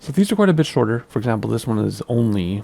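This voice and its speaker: A man's voice with noticeable background noise. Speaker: flight sim gaming youtuber. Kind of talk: gameplay commentary. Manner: casual, chatty.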